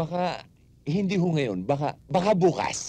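Putting on a character voice, a woman speaks at a fairly slow pace in a low, dark, mellow tone with a slightly husky edge and big pitch swings.

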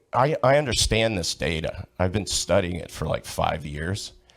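Slowish in pace, a man talks in a plain, everyday voice on a very clean recording with a silent background. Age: 60s. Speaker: public commenter. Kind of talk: heated debate.

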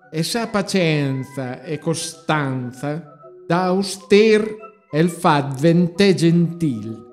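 A man with a Marche accent, fairly high-pitched, speaking very slowly with lively intonation over background music. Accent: Pesaro dialect. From Pesaro, Italy. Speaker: street performer. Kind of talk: dialect poetry reading. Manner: relaxing, hypnotic.

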